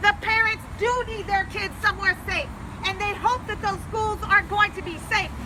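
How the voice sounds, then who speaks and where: Over noticeable background noise, a raised, projected voice speaks at a moderate pace. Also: woman. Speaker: congressional candidate. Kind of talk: public speech. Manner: loud; impassioned.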